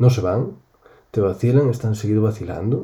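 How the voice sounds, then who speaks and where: A man's fairly low, dark and mellow voice, somewhat breathy, with fairly even intonation and a Galician accent. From Spain, Galicia. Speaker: gamer, host's husband. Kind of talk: casual chat.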